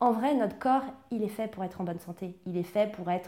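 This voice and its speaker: A woman speaks at a fairly quick pace. It is an ordinary speaking voice. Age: 30s. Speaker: emotional eating coach. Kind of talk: interview testimony.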